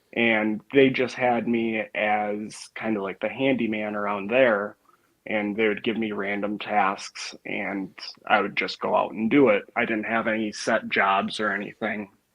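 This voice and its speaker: A man in a Wisconsin accent, fairly low in pitch, monotone and flat, at a fairly slow pace. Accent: Wisconsin accent, noticeable. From northern Wisconsin. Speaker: log home refinishing contractor. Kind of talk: casual interview.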